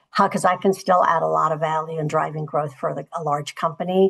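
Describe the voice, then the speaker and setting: Against a quiet background, a woman talks with vocal fry and ordinary pitch variation. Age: 60s. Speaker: corporate executive and panelist. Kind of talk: panel discussion. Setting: virtual conference.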